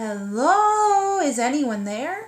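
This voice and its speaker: A put-on character voice, female-sounding and high-pitched, with very wide pitch swings. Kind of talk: bedtime story. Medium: read story.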